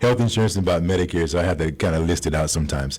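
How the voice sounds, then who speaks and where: A man speaks very fast with a very deep, low pitch and ordinary pitch variation. Noticeable background noise is present. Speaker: insurance broker. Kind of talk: radio interview.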